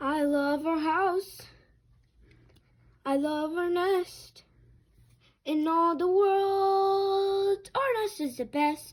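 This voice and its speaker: Using a put-on character voice at an extremely high pitch, a woman speaks at a very slow pace with long, frequent pauses. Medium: read story.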